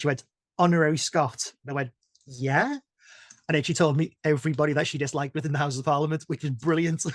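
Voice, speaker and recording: A man speaks with a Liverpool accent. His pace is very fast. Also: fairly high pitch for a man, dry, close sound with no echo. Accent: Scouse. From Liverpool, England. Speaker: veterinary nurse. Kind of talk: podcast interview. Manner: animated.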